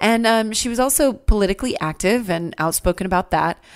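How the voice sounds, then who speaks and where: A woman speaks in a plain, everyday voice at a moderate pace. The recording is very clean, with a silent background. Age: 40s. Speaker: podcast host and musician. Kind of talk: casual podcast monologue. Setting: recording at a farm.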